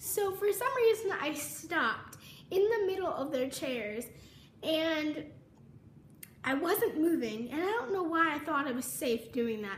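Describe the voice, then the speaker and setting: Amid audible room echo, a woman speaks at a fairly slow pace in a high pitch that swings very widely. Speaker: vlogger. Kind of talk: casual storytime vlog. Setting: home kitchen.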